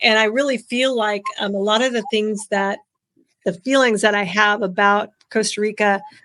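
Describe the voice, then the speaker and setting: Bright and sharp in tone, a woman speaks with an American accent at a fairly high pitch and with fairly even intonation. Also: moderate pace. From California, Bakersfield. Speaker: podcast host. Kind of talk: casual interview.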